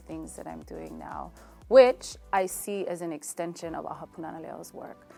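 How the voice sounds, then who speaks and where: With music playing behind her, a woman speaks in a Hawaiian accent at a moderate pace. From Hilo, Hawaii. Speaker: Hawaiian language advocate. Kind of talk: interview answer.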